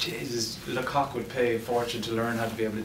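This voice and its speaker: A man in a western Irish accent, with audible room echo and noticeable background noise. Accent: Irish (west of Ireland). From west of Ireland, Ennis, County Clare. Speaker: screenwriter and actor. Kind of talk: post-screening Q&A. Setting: cinema stage with audience. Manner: halting, repeats words.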